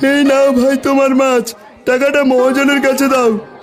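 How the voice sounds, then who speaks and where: A man's cartoonish character voice at extremely high pitch, monotone and flat in intonation, at a moderate pace, with clear background noise. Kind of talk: market hawker's call.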